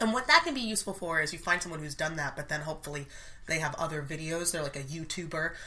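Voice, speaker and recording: A woman's fairly low voice moves at a very fast clip, its pitch rising and falling in an ordinary way. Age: 30s. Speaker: actress and dialect coach. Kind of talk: casual chat.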